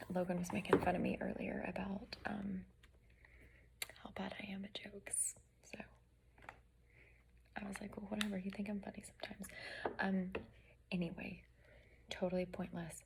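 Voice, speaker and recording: A woman is whispering at a moderate pace. Long pauses come often. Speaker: beauty vlogger. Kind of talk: tutorial. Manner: casual, filler-heavy.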